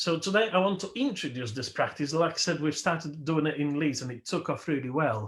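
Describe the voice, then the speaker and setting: A man's fairly quick, fairly high-pitched delivery with lively intonation on a very clean recording with a silent background. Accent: Polish. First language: Polish. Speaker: minister. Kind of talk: sermon.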